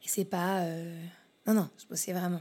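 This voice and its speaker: Recorded very cleanly over a silent background, a woman speaks at a moderate pace with a medium pitch and a dark, mellow tone. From Paris region, France. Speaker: business consultant. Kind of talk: interview. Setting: her office.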